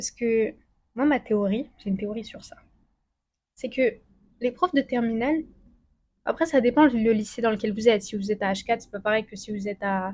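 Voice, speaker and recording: Somewhat breathy and fairly high-pitched, a woman talks at a fairly quick pace with long, frequent pauses, ordinary pitch variation and big swings in loudness. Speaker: student youtuber giving study tips. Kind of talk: casual vlog advice. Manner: fast; casual with many fillers.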